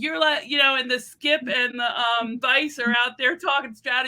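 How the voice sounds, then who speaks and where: A woman speaks with a New Jersey accent. Her pitch is high and her pace moderate. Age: 50s. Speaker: curler on a panel. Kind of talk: casual panel discussion.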